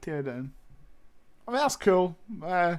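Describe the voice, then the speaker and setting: The voice has a British accent and moves at a fairly slow pace. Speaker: streamer. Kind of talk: live reaction stream. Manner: animated.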